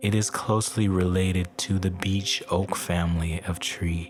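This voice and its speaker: The tone is calm, with monotone, flat intonation at a very slow pace. Music plays in the background. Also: man. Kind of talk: sleep story meditation narration. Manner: calm, slow, relaxing.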